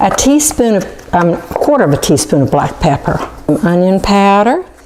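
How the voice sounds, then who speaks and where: With noticeable background noise, a woman at a medium pitch speaks at a moderate pace, keeping her loudness very even while her pitch swings very widely. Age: 60s. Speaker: cooking show host. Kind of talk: cooking demonstration. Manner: casual.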